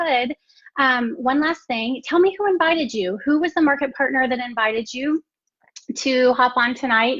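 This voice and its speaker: A woman talks at a moderate pace with a high pitch and lively intonation. She speaks with an American accent. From Texas. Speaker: network marketing entrepreneur. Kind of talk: live stream business presentation.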